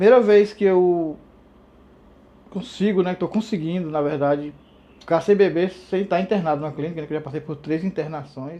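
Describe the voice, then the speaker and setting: At a fairly quick pace with long, frequent pauses, a man talks in a high voice with a dark, mellow tone and ordinary pitch variation. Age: 50s. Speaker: patient in addiction treatment. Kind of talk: testimony.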